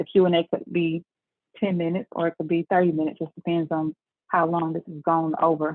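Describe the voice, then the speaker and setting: A woman with a Southern US accent talks at a very fast pace in a fairly low voice. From Memphis, Tennessee (US South). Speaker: tax business owner. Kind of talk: webinar presentation. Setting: video call.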